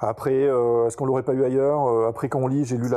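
The delivery is monotone and flat at a very fast pace. Noticeable background noise is present. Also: man. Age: 40s. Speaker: metal festival-goer, podcast listener. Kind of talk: casual interview chat. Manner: halting, many fillers and repetitions.

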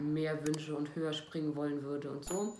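Through noticeable background noise and audible room echo, a woman speaks with a very deep, low pitch. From Germany, North Rhine-Westphalia near Cologne. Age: 20s. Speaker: former reality TV participant. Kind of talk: self-interview answering read-out questions.

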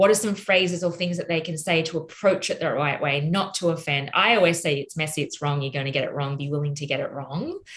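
With an Australian accent, a woman talks in a fairly low, somewhat breathy voice with ordinary pitch variation. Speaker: podcast host. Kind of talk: casual interview conversation.

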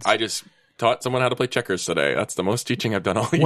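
Vocal fry at a very fast pace with very even loudness. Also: man, medium pitch for a man. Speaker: tabletop role-playing podcast guest player; school lunch and recess supervisor.

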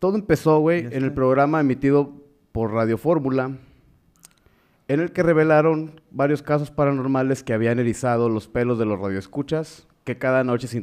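The voice is a man's, an unremarkable speaking voice at medium pitch. He keeps a moderate pace with ordinary pitch variation. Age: 20s. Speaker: podcast co-host and teacher. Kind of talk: casual chat. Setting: live stream.

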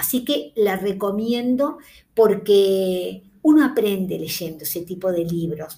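Very slowly, a woman speaks in a dark, mellow, somewhat breathy tone with very wide pitch swings. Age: 60s. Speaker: podcast host, book reviewer. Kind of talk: casual monologue about books. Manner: hesitant, with fillers.

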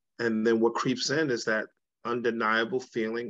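With an American accent, a man speaks in an ordinary speaking voice at a moderate pace, his medium pitch carrying fairly even intonation against a quiet background. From Brooklyn, New York. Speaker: podcast panelist, relationship coach. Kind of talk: casual chat.

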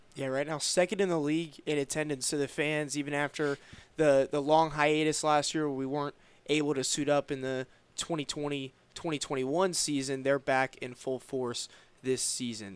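In a normal speaking voice, a man with an American accent talks at a moderate pace, his fairly high pitch kept to fairly even intonation. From Roanoke, Virginia. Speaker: sports podcast host. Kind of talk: interview.

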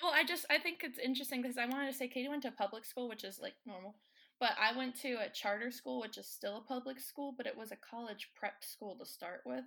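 Very fast and high-pitched, a woman with a Southern US accent talks in a bright, sharp tone with ordinary pitch variation and big swings in loudness. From North Carolina. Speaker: student. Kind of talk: casual chat.

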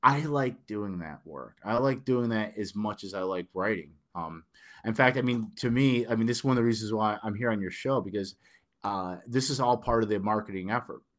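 Fairly low-pitched and fairly quick, a man with a northern US accent speaks with ordinary pitch variation in a very clean recording with a silent background. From Detroit, Michigan. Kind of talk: casual interview. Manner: hesitant, filler-heavy.

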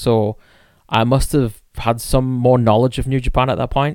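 An unremarkable speaking voice moves at a fairly quick pace with fairly even intonation. The recording is very clean with a silent background. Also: man. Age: 30s. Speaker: podcast co-host. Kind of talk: casual chat.

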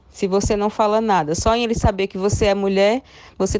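A woman with an unremarkable speaking voice talks at a medium pitch, her intonation fairly even. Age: 30s. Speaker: journalist and radio presenter. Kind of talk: casual chat.

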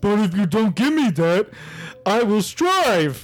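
A man's high voice at a fairly slow pace, with very wide pitch swings, very even loudness, and light background noise. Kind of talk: comic overacting. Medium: comedy sketch. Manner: whiny, self-pitying.

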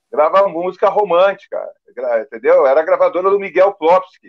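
At a fairly quick pace, a man talks with a high pitch and ordinary pitch variation. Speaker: rock drummer. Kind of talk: casual chat.

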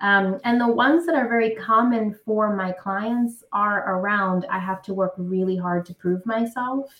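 Here a woman talks in a New York accent at medium pitch. Her pace is fairly slow, with hardly any pauses. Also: ordinary pitch variation. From New York City (Brooklyn). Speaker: career coach. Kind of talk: interview.

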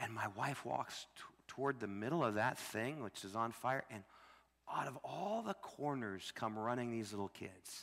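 In a plain, everyday voice, this man holds a medium pitch and a moderate pace, his pitch varying in an ordinary way. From US Midwest, Illinois. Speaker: missionary preacher. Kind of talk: sermon. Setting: church.

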